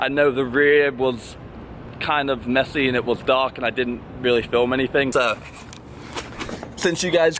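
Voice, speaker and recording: A man speaks in a relaxed tone at a moderate pace and medium pitch. Noticeable background noise can be heard. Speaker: car enthusiast vlogger. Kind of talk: casual vlog. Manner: casual, relaxed.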